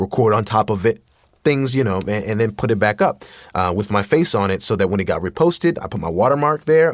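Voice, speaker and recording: With an ordinary speaking voice, a man talks at a fairly quick pace using lively intonation. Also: very clean recording, silent background. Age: 20s. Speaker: voice actor. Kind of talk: interview answer.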